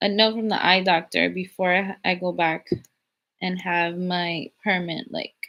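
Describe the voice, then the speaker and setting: Fairly slow and flat, a woman's monotone delivery sits at a medium pitch. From Cuban heritage. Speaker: YouTuber, live stream host. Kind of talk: live stream chat, reading viewer comments. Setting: live stream.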